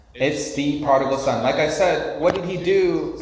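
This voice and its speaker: Over noticeable background noise and audible room echo, a man talks in an animated tone. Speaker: pastor. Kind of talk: sermon.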